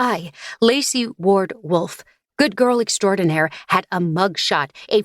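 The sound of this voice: An unforced reading voice. The background is quiet.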